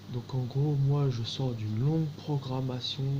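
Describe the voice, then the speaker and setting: Over noticeable background noise, a man talks at a very slow pace, his medium-pitched voice held to a fairly even intonation. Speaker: video testimony speaker. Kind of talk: monologue testimony. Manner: slow, halting with many fillers.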